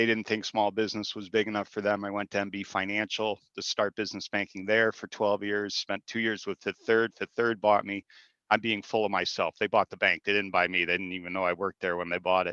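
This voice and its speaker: Speaking at a fairly quick pace with hardly any pauses, a man with a fairly low pitch and a bright, sharp tone stays flat and monotone, the sound dry and close with no echo against a quiet background. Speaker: small business banker. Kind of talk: webinar panel introduction. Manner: fast.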